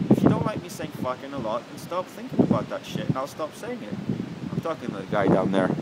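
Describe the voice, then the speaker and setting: A man's voice over noticeable background noise. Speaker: vlogger. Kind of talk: casual monologue. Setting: outdoors. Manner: loud.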